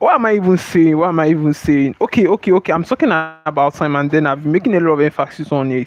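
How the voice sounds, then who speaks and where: Over music in the background, a man speaks very fast with hardly any pauses. His pitch is fairly high, with ordinary variation. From Nigeria. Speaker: streamer and motivational teacher. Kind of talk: livestream motivational talk.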